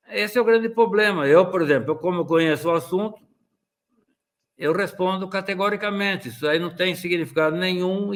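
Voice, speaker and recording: This man's pitch varies in an ordinary way. It sits high for a man. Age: 70s. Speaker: dentistry professor. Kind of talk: lecture. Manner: conversational.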